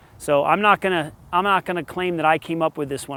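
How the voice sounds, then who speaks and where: Man with a high pitch and an animated tone at a fairly quick pace, in a very clean, dry, close recording with no echo over a silent background. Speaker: tennis coach. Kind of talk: tutorial.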